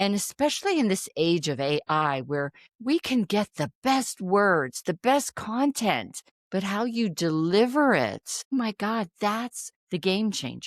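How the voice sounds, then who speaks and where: A woman's medium-pitched voice with very wide pitch swings at a fairly slow pace, dry and close with no echo, in a very clean recording with a silent background. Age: 60s. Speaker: public speaking and leadership coach. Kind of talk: podcast interview.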